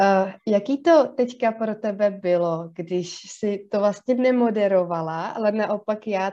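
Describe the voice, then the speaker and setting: A woman's dark, mellow tone at a very slow pace. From South Bohemia, Czech Republic. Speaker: psychologist and podcast co-host. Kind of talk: casual chat. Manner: hesitant, many fillers.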